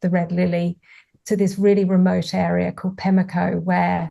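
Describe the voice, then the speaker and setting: A woman with a British accent at a moderate pace. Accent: English (UK). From England. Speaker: author. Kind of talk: interview conversation.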